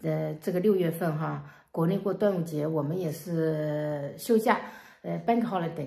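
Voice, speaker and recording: The pace is moderate. A woman speaks against a quiet background. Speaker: family vlogger. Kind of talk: casual vlog chat.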